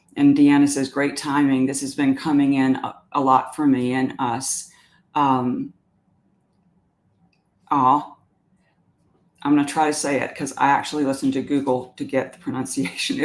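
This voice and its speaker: At a moderate pace, the speaker talks in a Southern US accent with long, frequent pauses. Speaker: workshop facilitator reading participant comments. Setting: online group workshop. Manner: warm, reflective, frequent filler sounds.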